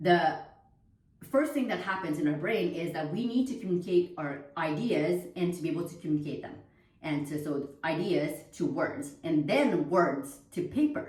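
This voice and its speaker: A woman with a Vietnamese accent speaks at a moderate pace in a fairly low pitch with lively intonation. Audible room echo and noticeable background noise surround her. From Quebec, Canada (Montreal). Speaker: homeschooling mother and vlogger. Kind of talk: casual talk to camera. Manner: hesitant, many fillers and restarts.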